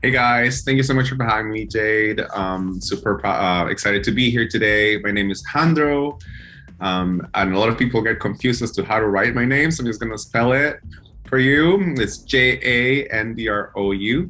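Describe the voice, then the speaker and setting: With a Spanish accent, a man speaks at a medium pitch and a moderate pace, his tone bright and sharp, his pitch varying in an ordinary way. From El Salvador. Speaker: singer-songwriter. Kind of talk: interview.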